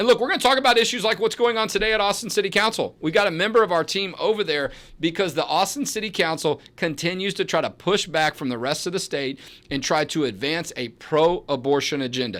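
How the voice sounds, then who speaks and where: Loud and very fast, a man with a high pitch speaks with lively intonation on a very clean recording with a silent background. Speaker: advocacy group president and show host. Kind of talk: talk show monologue. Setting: studio.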